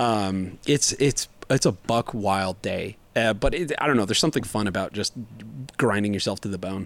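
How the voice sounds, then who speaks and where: This man has an ordinary speaking voice, pitched fairly low. He talks at a moderate pace with ordinary pitch variation. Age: 40s. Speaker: podcast co-host. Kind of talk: casual chat.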